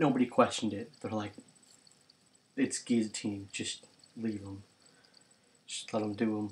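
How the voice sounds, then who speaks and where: A soft-spoken man talks at a moderate pace with a fairly low pitch and a somewhat breathy quality. His intonation is flat and monotone, his loudness swings widely, and he leaves long, frequent pauses. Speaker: youtuber. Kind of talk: casual vlog monologue. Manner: rambling with fillers.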